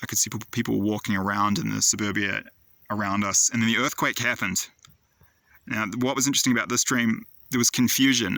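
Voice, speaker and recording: The voice has a bright, sharp tone and fairly even intonation. It moves at a very fast pace. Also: man. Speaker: prophetic dream video maker. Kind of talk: monologue recounting dreams.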